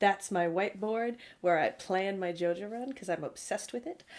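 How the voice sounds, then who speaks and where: Speaking in a Canadian accent, a woman with a plain, everyday voice uses lively intonation at a medium pitch and a fairly slow pace. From Canada. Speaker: art director and streamer. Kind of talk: livestream Q&A introductions. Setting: livestream.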